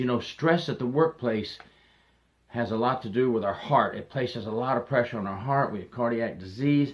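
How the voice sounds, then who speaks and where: A man speaks at a moderate pace with an unremarkable speaking voice, medium pitch and ordinary pitch variation. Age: 60s. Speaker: retired corrections officer. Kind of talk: advice monologue.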